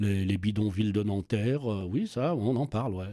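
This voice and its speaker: A man speaks in a dark, mellow tone at a fairly low pitch with ordinary pitch variation. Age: 60s. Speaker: youth worker and local councillor. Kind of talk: casual chat. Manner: halting, many repetitions.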